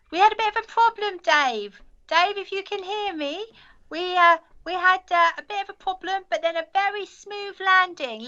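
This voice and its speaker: A woman's put-on character voice, squeaky and extremely high, at a moderate pace. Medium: comedy sketch. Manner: rambling, distracted, cheerfully evasive.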